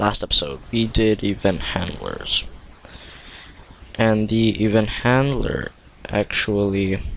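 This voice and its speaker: Amid noticeable background noise, a man speaks very slowly with long, frequent pauses, his fairly low voice holding very even loudness and ordinary pitch variation. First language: not English (Korean or Tagalog). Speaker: coding tutorial youtuber. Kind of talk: tutorial. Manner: halting, stumbling.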